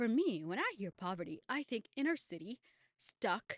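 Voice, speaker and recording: A woman's voice with very wide pitch swings, in a dry, close sound with no echo. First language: not English. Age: 20s. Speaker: YouTuber. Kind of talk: casual monologue.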